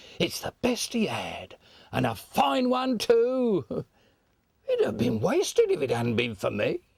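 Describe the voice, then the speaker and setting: Cackling in a put-on character voice, a man speaks at a fairly slow pace. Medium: stage play. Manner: cackling, coarse.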